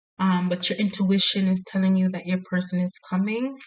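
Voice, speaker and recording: Somewhat breathy, a woman at medium pitch talks at a fairly slow pace in a monotone, flat intonation. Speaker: tarot reader. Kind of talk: tarot reading monologue. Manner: quiet, soft-spoken; hesitant with fillers.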